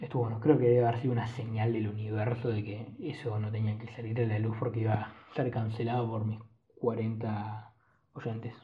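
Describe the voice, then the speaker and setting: A man with a Rioplatense accent, medium pitch, monotone and flat intonation, moderate pace, and audible room echo. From Argentina. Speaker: podcast host. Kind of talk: solo casual monologue.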